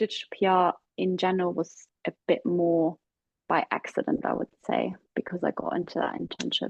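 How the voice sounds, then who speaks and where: A German accent at a moderate pace. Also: woman. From Germany, Hamburg. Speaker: digital PR executive. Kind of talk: casual interview.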